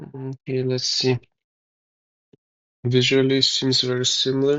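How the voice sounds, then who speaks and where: The speech is mumbled at a fairly slow pace. Its intonation is monotone and flat. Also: man, medium pitch for a man. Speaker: DIY tech hobbyist. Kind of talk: tutorial. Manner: mumbling; halting.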